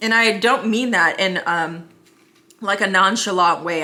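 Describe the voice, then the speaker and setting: With ordinary pitch variation, a woman's speech comes in an ordinary speaking voice. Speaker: realtor vlogger. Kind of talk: casual vlog talk to camera.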